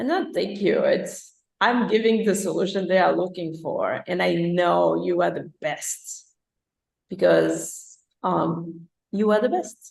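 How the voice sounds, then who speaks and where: A woman speaks with a Portuguese accent. Her pace is very slow. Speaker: life coach. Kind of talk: live interview show. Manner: animated.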